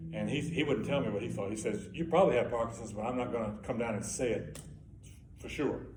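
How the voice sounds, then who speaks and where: Vocal fry runs through a man's medium-pitched voice, which has ordinary pitch variation. He speaks very fast, and the room echo is audible. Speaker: Parkinson's patient sharing experience. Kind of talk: testimony. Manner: halting.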